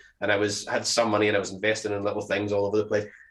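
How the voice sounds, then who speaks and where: In a very clean recording with a silent background, a man speaks with a Scottish accent in a fairly low pitch. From Scotland. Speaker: podcast co-host. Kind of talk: casual chat. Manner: halting, many fillers and restarts.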